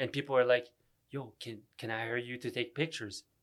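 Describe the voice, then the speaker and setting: A man with a French Canadian accent on a very clean recording with a silent background. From Canada (Ottawa, francophone). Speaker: rapper. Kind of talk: casual chat.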